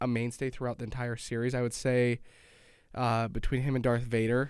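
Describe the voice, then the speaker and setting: Speaking with an American accent, a man in an unremarkable speaking voice keeps a medium pitch and moderate pace, in a very clean recording with a silent background. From Utah, Pleasant Grove. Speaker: show regular. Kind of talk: casual chat. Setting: studio.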